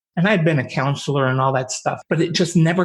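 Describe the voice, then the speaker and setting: This man's voice sounds somewhat breathy. His pitch varies an ordinary amount. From upstate New York. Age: 70s. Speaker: podcast host. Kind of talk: interview.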